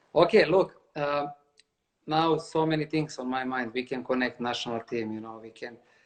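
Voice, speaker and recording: With a non-native accent, the speaker goes at a moderate tempo. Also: long, frequent pauses. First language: not English. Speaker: interviewer. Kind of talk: casual interview.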